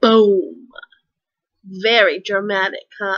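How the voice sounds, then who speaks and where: Against a quiet background, a woman speaks in a raised, projected voice. Her tone is animated, bright and sharp. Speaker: author and writing vlogger. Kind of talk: tutorial. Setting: home video, apartment. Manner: casual, animated.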